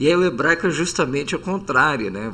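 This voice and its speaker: A man's voice with very wide pitch swings. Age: 60s. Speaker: Hebrew professor and reverend. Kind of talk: podcast interview.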